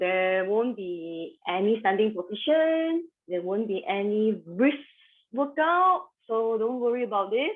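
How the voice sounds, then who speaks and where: A woman's fairly high voice at a fairly slow pace, with very wide pitch swings. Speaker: yoga instructor. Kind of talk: guided yoga class. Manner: soft-spoken.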